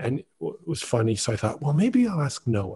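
A man speaks at a fairly quick pace and medium pitch, his dark, mellow tone carrying a husky, rough edge through big pitch swings.

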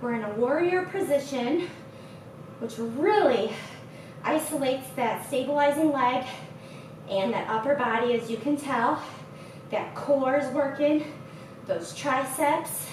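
Very slow and broken by long, frequent pauses, a woman's high voice comes with audible room echo and noticeable background noise. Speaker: fitness instructor. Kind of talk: workout instruction. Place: gym.

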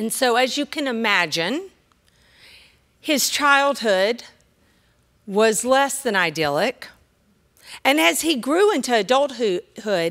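The speech comes at a very slow pace with long, frequent pauses. The background is quiet. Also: woman. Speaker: seminarian preacher. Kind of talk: sermon. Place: church. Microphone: podium.

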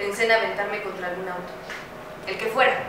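A woman's voice carries audible room echo, with noticeable background noise behind it. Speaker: stage actress. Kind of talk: dramatic stage monologue. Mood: somber, anguished. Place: stage. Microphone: camera far.

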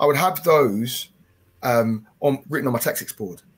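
Somewhat breathy speech from a man at a moderate pace. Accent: English. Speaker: football coach and development officer. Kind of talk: webinar discussion. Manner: chatty, halting, self-correcting. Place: home room. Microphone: headset.

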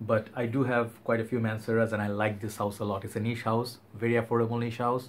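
A man speaks in a somewhat breathy voice. His intonation is monotone and flat. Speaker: fragrance reviewer. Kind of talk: casual vlog chat. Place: home room.

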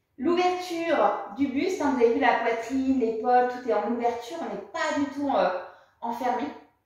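A woman speaks at a moderate pace with a high pitch. There is strong room echo, but the background is quiet. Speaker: yoga or fitness instructor. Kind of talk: exercise class instruction. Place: home room. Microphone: camera far.

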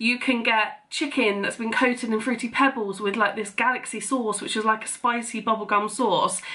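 A woman speaks at a moderate pace in a monotone, flat intonation with hardly any pauses. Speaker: vlogger. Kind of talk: casual vlog chat. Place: kitchen. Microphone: phone near.

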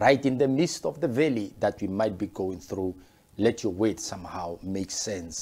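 A man with a fairly low pitch talks at a moderate pace with lively intonation. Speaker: pastor. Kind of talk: sermon. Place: office. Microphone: lapel.

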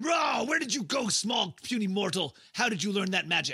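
Shouting in a high-pitched, put-on character voice, a man performs. His pace is moderate. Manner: bellowing, arrogant, then disbelieving.

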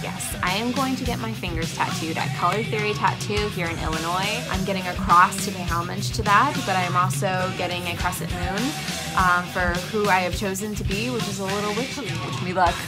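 Over loud background music, a woman speaks at a fairly quick pace with hardly any pauses. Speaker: wrestling ring announcer. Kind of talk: casual talk to camera. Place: home room. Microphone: phone near.

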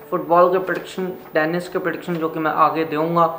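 Strong enough to hear, room echo surrounds the speaker. A man talks at a moderate pace. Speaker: sports prediction channel host. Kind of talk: casual vlog chat. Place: home room.

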